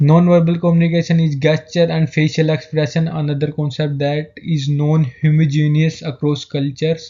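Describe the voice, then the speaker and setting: An Indian accent at a moderate pace, with hardly any pauses. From India, Haryana. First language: Hindi. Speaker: student. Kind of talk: class presentation. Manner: halting.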